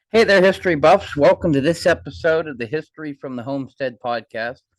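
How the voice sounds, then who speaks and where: With an unremarkable speaking voice, a man talks at a fairly quick pace, his intonation lively and his loudness swinging widely, in a dry, close sound with no echo. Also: fairly high pitch for a man. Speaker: podcast host. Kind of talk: podcast introduction.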